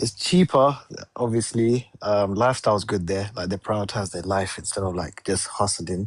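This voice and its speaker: A man with a London accent, fairly low-pitched, with fairly even intonation and a moderate pace. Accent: British, London. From England, London. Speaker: security analyst, caller. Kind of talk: casual chat.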